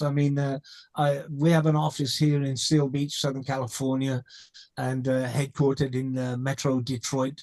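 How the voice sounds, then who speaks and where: A man with a slight British accent speaks at a moderate pace in a fairly high pitch. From England. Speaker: company co-founder. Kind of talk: interview. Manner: halting, many fillers and repeats.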